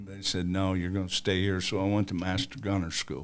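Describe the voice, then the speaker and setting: This man has a Southern US accent. His pitch is very deep and low. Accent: Southern drawl. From US South, northern Alabama. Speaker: war veteran. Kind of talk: interview. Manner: halting.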